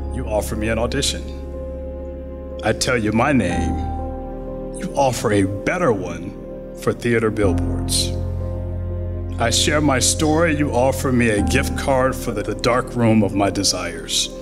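A man speaks at a very slow pace. Clear music plays behind him. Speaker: poet. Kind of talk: poetry reading. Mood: calm, reflective. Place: hall. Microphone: podium.

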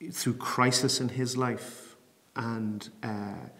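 In an Irish accent, a man speaks at a very slow pace with monotone, flat intonation. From Bray, County Wicklow, Ireland. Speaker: programme manager for public theology. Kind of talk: interview answer. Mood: calm, thoughtful, personal. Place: home room.

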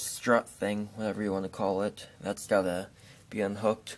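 A man speaks with a fairly low pitch at a moderate pace. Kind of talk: casual vlog chat. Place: garage. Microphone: phone near.

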